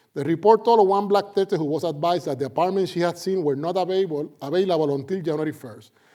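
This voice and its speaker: Speaking at a fairly quick pace with a Puerto Rican accent, a man has a fairly high voice, a dark, mellow tone, and ordinary pitch variation. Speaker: sociology professor. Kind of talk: lecture. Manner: animated.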